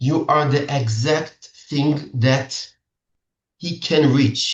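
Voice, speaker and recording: A man with an Israeli accent speaks at a very slow pace in a somewhat breathy voice. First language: Hebrew. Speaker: matchmaker. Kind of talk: seminar talk. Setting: video call. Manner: halting.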